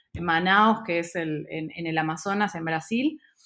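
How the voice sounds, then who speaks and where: The voice has an Argentine accent and lively intonation at a moderate pace. The recording is very clean, with a silent background. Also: woman. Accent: Rioplatense Argentine Spanish. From Argentina, raised in Buenos Aires. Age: 30s. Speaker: startup founder and CEO. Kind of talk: interview. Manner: hesitant, many fillers.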